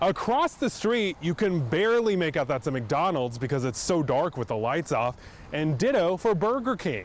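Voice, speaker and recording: This man's voice is high for a man and swings very widely in pitch. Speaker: news anchor and investigative reporter. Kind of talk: TV news report.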